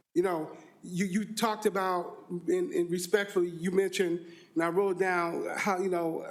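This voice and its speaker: At a moderate pace, a man with a high pitch talks in fairly even intonation against noticeable background noise. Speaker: state legislator on budget committee. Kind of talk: committee hearing questioning. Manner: halting with repetitions.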